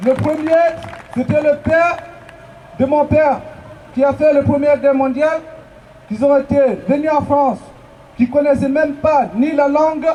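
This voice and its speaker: A man with a non-native accent, an extremely high pitch and fairly even intonation at a moderate pace, over noticeable background noise. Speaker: migrant activist. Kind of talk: protest speech. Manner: halting.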